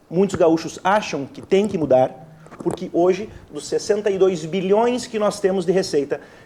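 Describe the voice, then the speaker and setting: Noticeable background noise sits under this recording. A man speaks at a moderate pace in a high pitch, with ordinary pitch variation. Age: young. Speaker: state legislator. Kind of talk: heated debate.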